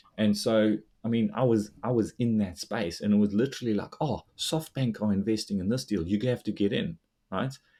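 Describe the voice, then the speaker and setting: A man talks at a moderate pace with a fairly low pitch. His tone is dark and mellow. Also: ordinary pitch variation. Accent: South African. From South Africa. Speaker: investor and finance blogger. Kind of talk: casual interview chat.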